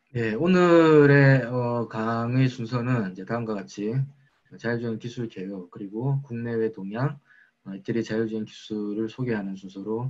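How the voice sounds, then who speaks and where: At a medium pitch, a man talks at a moderate pace with ordinary pitch variation. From South Korea, Busan. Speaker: research lab director. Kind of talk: lecture. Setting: online lecture.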